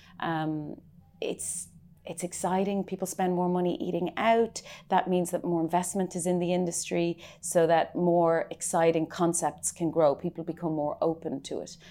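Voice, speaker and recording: A woman with a Dublin accent speaks in a dark, mellow tone with monotone, flat intonation. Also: fairly low pitch for a woman, moderate pace. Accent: Irish (Dublin). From Ireland, Dublin. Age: 30s. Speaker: chef and restaurant owner. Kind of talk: interview. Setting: in her restaurant.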